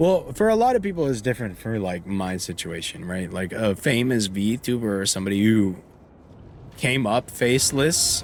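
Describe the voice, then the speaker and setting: With music in the background, a man of medium pitch talks at a moderate pace using lively intonation. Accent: American. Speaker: video game streamer. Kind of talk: casual chat while live-streaming a game. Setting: live stream with face cam.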